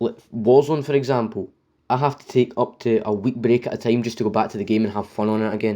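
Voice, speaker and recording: A man with a medium pitch talks at a very fast pace. His intonation is fairly even. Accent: Scottish. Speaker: gaming YouTuber. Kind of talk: game review. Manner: scripted reading; stuttering, unscripted in parts.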